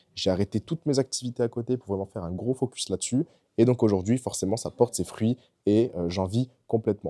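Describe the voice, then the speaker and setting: In a normal speaking voice, a man talks at a medium pitch and a fairly quick pace with ordinary pitch variation, recorded very clean with a silent background and a dry, close sound with no echo. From France, Bordeaux. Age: 20s. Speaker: e-commerce entrepreneur and coach. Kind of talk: personal story monologue to camera. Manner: casual, with fillers and repetitions.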